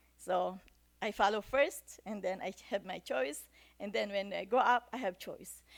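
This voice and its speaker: A woman's medium-pitched voice with a Filipino accent and vocal fry, ordinary pitch variation at a fairly slow pace, on a very clean recording with a silent background. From Philippines. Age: 60s. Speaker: church speaker. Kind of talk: sermon.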